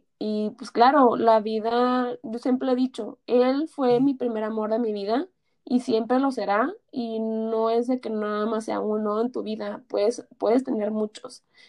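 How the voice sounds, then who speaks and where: At a fairly slow pace, a woman speaks with fairly even intonation. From Mexico, Tijuana. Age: 20s. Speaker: accountant. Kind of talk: interview testimony. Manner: halting.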